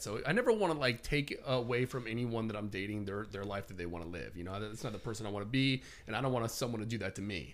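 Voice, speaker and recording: Very fast male speech at a medium pitch, with ordinary pitch variation. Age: 30s. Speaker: real estate agent and personal development blogger. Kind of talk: casual chat.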